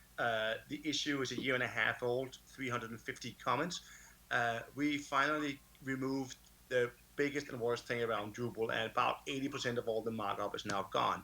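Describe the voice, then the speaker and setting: A man with a Danish accent talks at a fairly quick pace in a medium pitch. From Denmark. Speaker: conference speaker. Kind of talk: conference talk. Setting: remote talk, can't see audience. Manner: animated.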